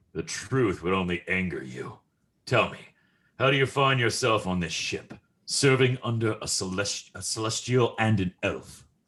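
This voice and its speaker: Using a put-on character voice, a man speaks at a moderate pace and medium pitch with ordinary pitch variation. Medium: audio drama. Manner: cold, measured.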